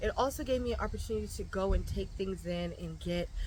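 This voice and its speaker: The voice belongs to a woman. Room echo is clearly audible around it. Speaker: homesteader and gardening vlogger. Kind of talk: casual vlog narration. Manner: loud.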